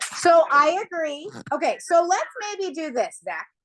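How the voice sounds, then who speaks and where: This is a woman speaking. Her voice is loud. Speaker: math teacher. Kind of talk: classroom lesson. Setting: classroom.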